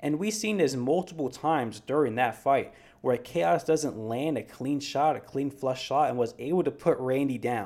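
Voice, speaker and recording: With an American accent, a man speaks in a fairly high pitch at a moderate pace. His intonation is lively, and he leaves hardly any pauses. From New York City. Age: 20s. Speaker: MMA podcast host. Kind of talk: solo podcast commentary. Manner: animated.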